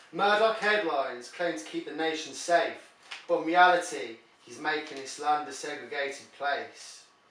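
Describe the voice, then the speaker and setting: A man at a moderate pace, fairly high in pitch, with ordinary pitch variation, big swings in loudness and noticeable background noise. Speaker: poet. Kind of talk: poetry reading.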